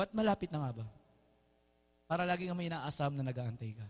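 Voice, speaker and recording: A man shouting against a quiet background, his pitch swinging very widely. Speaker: preacher. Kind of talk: sermon. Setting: church with congregation. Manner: animated, call-and-response, urging the congregation to shout back; warm, informal, mixes Tagalog with English. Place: church.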